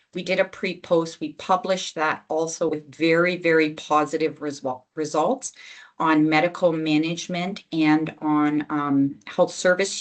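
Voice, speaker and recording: Against a quiet background, a woman with an ordinary speaking voice and fairly low pitch talks at a fairly slow pace. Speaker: health program lead presenting to physicians. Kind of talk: webinar presentation with slides.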